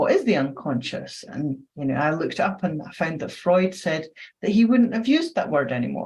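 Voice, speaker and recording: Speaking with a Scottish accent at a fairly quick pace, this woman has a fairly low pitch that makes very wide swings. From Scotland. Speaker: neuroscience educator and trainer. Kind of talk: podcast interview. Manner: conversational.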